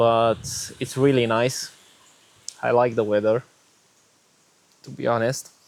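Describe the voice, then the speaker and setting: Fairly slow, flat, monotone speech with a Romanian accent, long frequent pauses and big swings in loudness. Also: man, medium pitch for a man. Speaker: vlogger sharing faith story. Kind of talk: personal testimony. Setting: outdoors. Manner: hesitant, many fillers.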